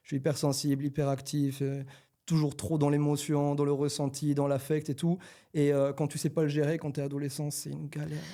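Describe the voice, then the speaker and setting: A dark, mellow tone at a fairly quick pace, flat and monotone in intonation. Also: man. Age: 20s. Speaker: rapper. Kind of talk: casual chat.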